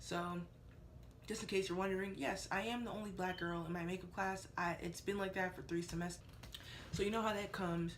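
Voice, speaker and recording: A woman speaks at a fairly quick pace, broken by long, frequent pauses. Audible room echo surrounds her voice. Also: medium pitch for a woman. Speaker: beauty vlogger, makeup student. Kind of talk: casual talk-to-camera vlog. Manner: loud; animated.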